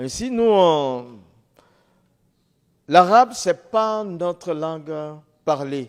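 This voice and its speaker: In a very clean recording against a silent background, a man is talking. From Ivory Coast. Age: 60s. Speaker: former imam giving testimony. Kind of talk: testimony.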